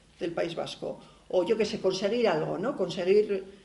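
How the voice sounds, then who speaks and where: At a fairly quick pace, a woman talks in a medium-pitched voice with audible room echo. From Basque Country. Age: 50s. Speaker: university researcher and feminist activist. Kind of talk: lecture. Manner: halting.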